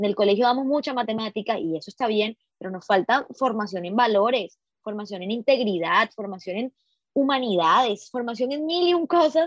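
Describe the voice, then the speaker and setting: A woman with an unremarkable speaking voice, pitched fairly high and full of lively intonation. She talks at a moderate pace in a dry, close sound with no echo. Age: 20s. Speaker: journalist and feminist activist, podcast co-host. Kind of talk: casual discussion panel.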